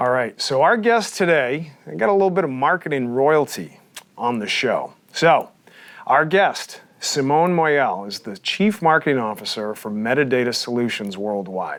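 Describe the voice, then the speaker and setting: In an American accent, a man with a fairly high pitch speaks at a moderate pace with very wide pitch swings. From Texas. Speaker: podcast host, company CEO. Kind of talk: interview. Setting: studio.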